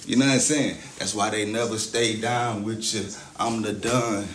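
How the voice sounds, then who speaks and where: A man speaks with ordinary pitch variation over light background noise. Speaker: livestreamer. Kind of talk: casual livestream chat. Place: empty room. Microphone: phone near.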